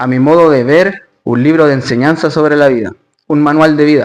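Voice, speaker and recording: Here is a man with an ordinary speaking voice and ordinary pitch variation. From Chile, Santiago. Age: 20s. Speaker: stoicism and Bible study coach. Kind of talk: interview.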